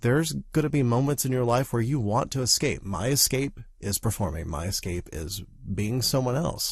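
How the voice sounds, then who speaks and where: The voice is somewhat breathy, at a moderate pace. Its intonation is lively. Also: man, medium pitch for a man. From US South. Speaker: actor and podcast host. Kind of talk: casual podcast monologue.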